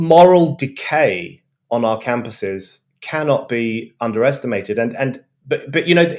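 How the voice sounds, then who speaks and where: A man with a British accent speaks at a moderate pace in a medium pitch, his intonation lively. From England. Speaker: journalist and author. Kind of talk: panel discussion. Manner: fluent.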